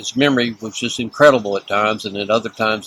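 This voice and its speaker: Over noticeable background noise, a man with a Texan accent speaks fairly quickly at a medium pitch with fairly even intonation. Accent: Texan American. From Texas. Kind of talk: interview answer.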